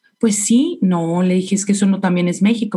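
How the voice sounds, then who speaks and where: A woman's medium-pitched voice with ordinary pitch variation, in a northern Mexican accent. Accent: northern Mexican Spanish (Sonora). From Mexico, Sonora. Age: 40s. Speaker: chef and restaurant owner. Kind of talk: interview. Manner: animated.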